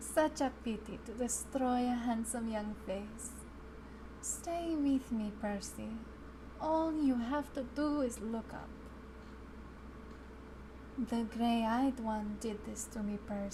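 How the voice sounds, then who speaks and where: In a put-on character voice, a female-sounding speaker with fairly high pitch talks fairly slowly amid loud background noise and hissing. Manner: hissing, menacing.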